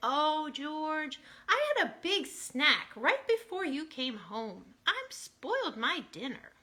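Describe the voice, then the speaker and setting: Using a put-on character voice, a woman speaks fairly slowly and high, her pitch swinging very widely. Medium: read story.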